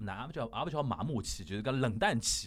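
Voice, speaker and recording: A man speaks at a medium pitch. His voice makes very wide pitch swings. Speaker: podcast host. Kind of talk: casual chat.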